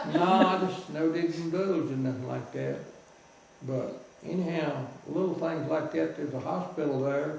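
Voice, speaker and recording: Speaking at a moderate pace in a Southern US accent, a man uses ordinary pitch variation. Room echo is audible, and background noise is noticeable. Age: 80s+. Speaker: war veteran. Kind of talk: storytelling.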